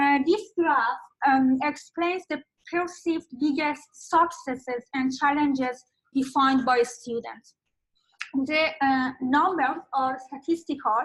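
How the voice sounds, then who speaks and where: A high-pitched woman's voice at a very slow pace, with ordinary pitch variation. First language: not English (English is third language). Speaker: academic researcher presenting findings. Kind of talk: conference presentation. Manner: halting, many fillers.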